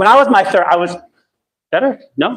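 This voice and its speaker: A man with lively intonation. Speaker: dating coach. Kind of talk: live seminar. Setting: stage with audience. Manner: fast. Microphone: too loud, rumble, held too close.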